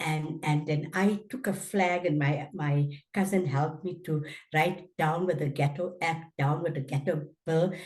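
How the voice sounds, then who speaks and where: Her voice is very deep and low, somewhat breathy, and the woman keeps her intonation fairly even. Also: fairly slow pace. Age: 80s+. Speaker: anti-apartheid activist. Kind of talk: interview testimony. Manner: halting.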